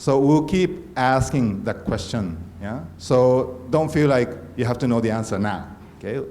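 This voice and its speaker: A man talks at a medium pitch and a fairly slow pace. Room echo can be heard. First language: not English. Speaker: conference organizer. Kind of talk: conference talk. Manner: halting.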